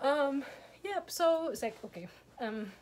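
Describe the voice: At a slow pace, a woman with a high pitch and a slightly mellow tone speaks with lively intonation.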